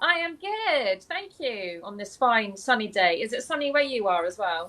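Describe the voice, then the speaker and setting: With an American accent, a woman talks at a moderate pace in a fairly high pitch. Her pitch swings very widely. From mixed US and UK upbringing, mostly UK. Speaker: author and interview show host. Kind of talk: casual chat. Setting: live video call.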